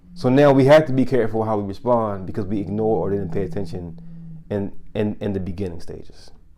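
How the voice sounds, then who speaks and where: Very fast and full of lively intonation, a man with a Baltimore accent speaks in a fairly low voice with a dark, mellow tone. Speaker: podcast host. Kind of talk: casual chat.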